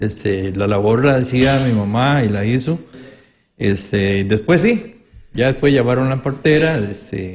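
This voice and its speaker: Somewhat breathy man at a moderate pace, ordinary pitch variation. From Costa Rica, Pital de San Carlos (rural Alajuela). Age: 70s. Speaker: legislator and educator. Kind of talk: interview.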